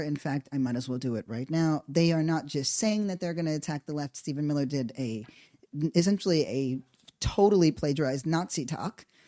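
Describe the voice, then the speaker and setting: The tone is dark and mellow, with ordinary pitch variation. The recording is very clean, with a silent background. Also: woman. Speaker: political commentary podcast host. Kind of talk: political commentary monologue. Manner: quieter than usual, subdued; hesitant, many fillers.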